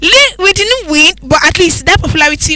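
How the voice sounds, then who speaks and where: A woman's raised, projected voice, high-pitched with very wide pitch swings, amid noticeable background noise. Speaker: radio presenter. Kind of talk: casual chat.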